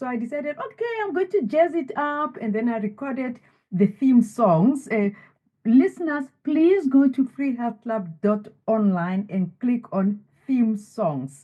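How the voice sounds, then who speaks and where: A woman with a high pitch talks at a fairly slow pace, her voice making very wide pitch swings. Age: 70s. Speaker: author and wellness coach. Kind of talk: interview.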